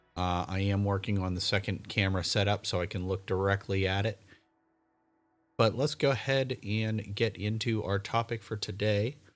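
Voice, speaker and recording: In a very clean recording with a silent background, a man speaks at a moderate pace with a fairly low pitch and fairly even intonation. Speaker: live streamer and game organizer. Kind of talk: livestream talk. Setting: home livestream. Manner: monotone; halting.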